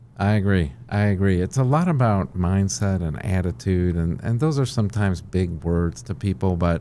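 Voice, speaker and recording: Speaking at a moderate pace, a man with a very deep, low voice uses lively intonation. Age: 60s. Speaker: company CEO. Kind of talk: interview. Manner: frequent fillers and restarts.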